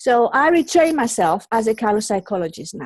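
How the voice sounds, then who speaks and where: In a Greek accent, a woman with a fairly high voice speaks with very wide pitch swings over a quiet background. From Greece. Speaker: colour psychologist. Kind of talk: interview. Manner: halting, many repetitions.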